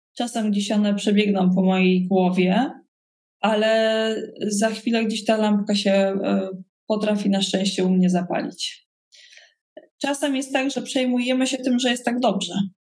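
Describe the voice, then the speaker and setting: A woman speaks at a fairly high pitch and a fairly slow pace. Her voice is somewhat breathy, with fairly even intonation. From Poland, Koszalin (West Pomerania). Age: 40s. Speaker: leadership trainer and entrepreneur. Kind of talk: interview.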